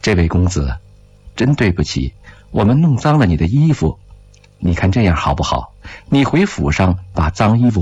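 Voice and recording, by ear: Someone reads a text aloud in a natural voice.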